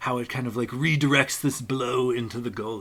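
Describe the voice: This is plain reading aloud. The intonation is fairly even.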